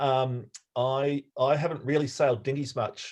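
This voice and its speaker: Speaking with an Australian accent, a man keeps a medium pitch, fairly even intonation, and a fairly slow pace. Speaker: sailing coach. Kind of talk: online talk. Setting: video call. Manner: hesitant, many fillers.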